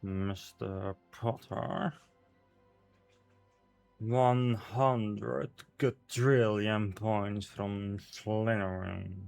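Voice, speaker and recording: A put-on character voice moves at a very slow pace with long, frequent pauses. Faint music plays in the background. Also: man, fairly low pitch for a man. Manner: stern, disapproving.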